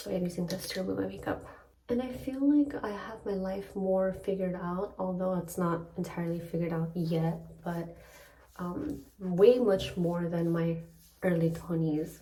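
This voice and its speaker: A woman whispers at a moderate pace. Room echo is audible, along with noticeable background noise. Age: 30s. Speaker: lifestyle vlogger. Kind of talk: casual vlog talk. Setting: hotel room. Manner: whispering.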